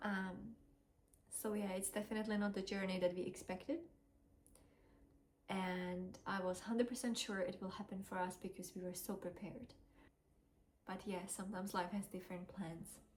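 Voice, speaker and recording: A somewhat breathy woman with a non-native accent, fairly even intonation and long, frequent pauses. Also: medium pitch for a woman, moderate pace. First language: not English. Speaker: vlogger sharing fertility journey. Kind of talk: personal testimony vlog. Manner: hesitant, many fillers.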